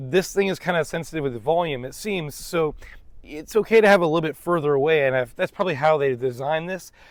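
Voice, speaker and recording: Very fast speech from a man at a fairly high pitch, with ordinary pitch movement. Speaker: tech reviewer. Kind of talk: product review. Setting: outdoors. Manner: loud; casual, filler-heavy.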